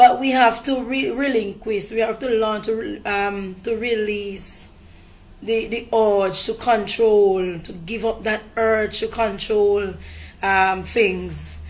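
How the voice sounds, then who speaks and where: A woman's fairly high voice at a very slow pace. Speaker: motivational speaker. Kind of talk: motivational talk to camera.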